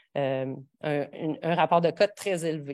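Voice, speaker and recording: A woman's ordinary pitch variation is heard on a very clean recording, with a silent background. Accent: Quebec. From Quebec (a region outside Montreal). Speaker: professor. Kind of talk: lecture. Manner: halting, many fillers and restarts.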